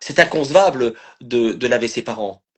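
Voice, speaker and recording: Lively intonation marks a man's voice that sounds somewhat breathy. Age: 60s. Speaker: live stream host and family caregiver. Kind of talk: live stream conversation. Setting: online live video stream. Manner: halting, many repetitions and fillers.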